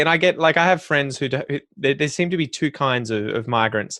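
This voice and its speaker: A man with an Australian accent speaks at a fairly quick pace against a quiet background. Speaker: podcast host teaching English. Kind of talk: interview podcast.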